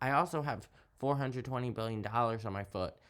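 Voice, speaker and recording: Speaking with an American accent and ordinary pitch variation, a man is heard in a very clean recording against a silent background. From US South. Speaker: YouTuber reading poetry. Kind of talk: casual monologue.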